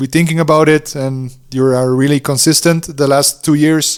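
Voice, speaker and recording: In a Dutch accent, a man speaks at a fairly slow pace with a fairly high pitch and fairly even intonation. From Netherlands. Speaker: DJ and music producer. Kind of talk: interview. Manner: halting.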